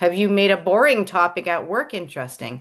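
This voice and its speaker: A woman speaks at a moderate pace. Her voice has vocal fry. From England. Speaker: public speaking presenter. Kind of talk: presentation.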